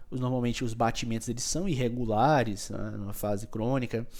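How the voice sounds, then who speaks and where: His voice has audible room echo. The speaker is a man. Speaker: microbiology teacher. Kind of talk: lecture. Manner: fast; animated.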